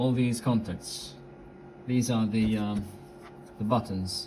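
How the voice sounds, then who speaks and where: A man with an Italian accent, medium pitch and fairly even intonation, fairly slow pace, audible room echo. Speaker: radio hobbyist. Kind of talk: tutorial. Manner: halting, many fillers.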